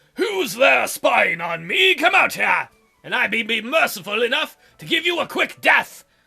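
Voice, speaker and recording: Shouting in a put-on character voice, a man hits extremely high pitches with very wide pitch swings as faint music plays in the background. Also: moderate pace. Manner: menacing.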